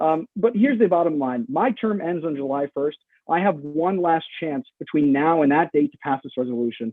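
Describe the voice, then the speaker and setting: A man's fairly high-pitched voice with lively intonation. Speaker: student senator presenting resolution. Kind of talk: formal meeting debate. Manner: fast.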